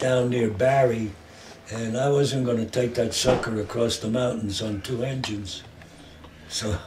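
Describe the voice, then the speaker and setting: A man with a New York accent at medium pitch and a fairly slow pace, with fairly even intonation, noticeable background noise and audible room echo. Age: 80s+. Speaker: war veteran and garment equipment supplier. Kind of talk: oral history interview.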